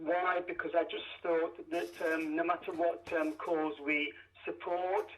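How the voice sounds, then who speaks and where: A man with an East Midlands accent speaks at a very slow pace in a high pitch. His intonation is monotone and flat, and his loudness stays very even. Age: 60s. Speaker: truck driver and charity biker. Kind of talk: radio interview. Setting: phone call from parked truck. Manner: halting.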